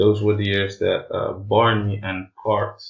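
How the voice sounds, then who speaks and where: A man is speaking. He has a Portuguese accent. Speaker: math teacher explaining darts rating system. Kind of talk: tutorial. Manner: halting, many filler sounds.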